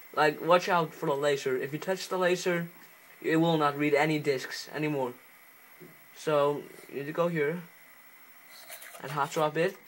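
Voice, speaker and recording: A man with an Icelandic accent and a fairly high voice speaks at a moderate pace in a monotone, flat intonation, with long, frequent pauses and light background noise. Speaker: home video tutorial maker. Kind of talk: casual tutorial talk over gameplay footage. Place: home room. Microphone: phone near.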